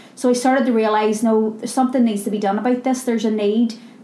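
The pace is fairly quick. Noticeable background noise runs throughout. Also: woman. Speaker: charity founder and CEO. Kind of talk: casual interview. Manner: loud, animated, uses hands when talking.

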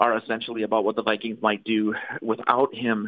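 In a normal speaking voice, a man talks at a moderate pace, his pitch medium. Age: 30s. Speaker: sports blogger and podcaster. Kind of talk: casual chat. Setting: phone call.

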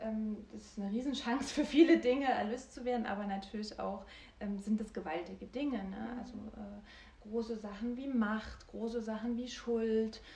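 A woman with a fairly high voice talks at a moderate pace with fairly even intonation and big swings in loudness, and room echo is audible. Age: 30s. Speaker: former lecturer, now coach for women and children. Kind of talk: interview. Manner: halting, many fillers.

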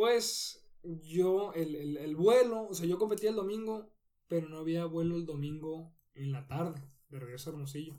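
A man talks at a moderate pace with ordinary pitch variation. His pitch is high and his tone is dark and mellow. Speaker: professional cyclist. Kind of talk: interview.

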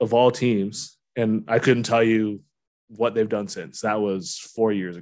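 In an ordinary speaking voice with a Canadian accent, a man talks at a fairly slow pace and medium pitch, with ordinary pitch variation and big swings in loudness, on a very clean recording with a silent background. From Ontario, London. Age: 30s. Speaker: podcast host. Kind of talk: casual chat.

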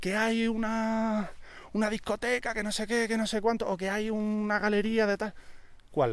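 A man with a high pitch is heard in a very clean recording with a silent background. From Andalusia, Spain. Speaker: painter and tattoo artist. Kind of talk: casual chat. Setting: outdoors.

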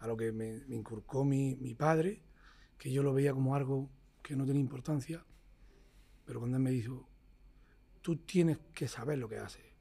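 A man's medium-pitched, somewhat breathy voice with a dark, mellow tone, moderate pace, ordinary pitch variation and long, frequent pauses. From Motril, Granada, Andalusia, Spain. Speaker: flamenco guitarist. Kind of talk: casual interview conversation. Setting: jazz club.

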